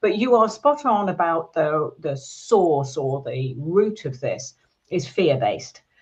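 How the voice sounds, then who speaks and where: Very slowly and somewhat breathily, a woman speaks in a British accent at a fairly low pitch, with very wide pitch swings. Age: 60s. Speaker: business psychologist. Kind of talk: podcast interview.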